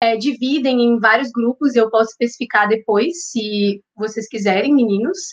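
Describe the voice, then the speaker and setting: At a fairly slow pace, a woman with a high voice speaks with ordinary pitch variation. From Minas Gerais, Belo Horizonte. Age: young. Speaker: psychology student and vegan content creator. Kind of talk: casual podcast interview.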